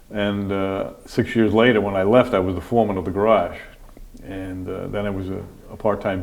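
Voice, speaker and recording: The speaker talks at a fairly quick pace with a fairly even intonation. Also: man. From upstate New York, Montgomery County (moved from Brooklyn at ten). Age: 60s. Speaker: county sheriff. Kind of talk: interview, casual chat. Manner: halting, with frequent fillers and restarts.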